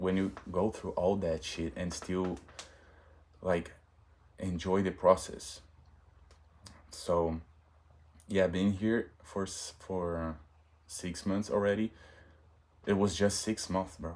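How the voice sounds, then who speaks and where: A man with a Portuguese accent talks very slowly in a very deep, low voice, with fairly even intonation and long, frequent pauses. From Brazil. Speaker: vlogger. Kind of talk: casual monologue vlog. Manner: halting, self-correcting.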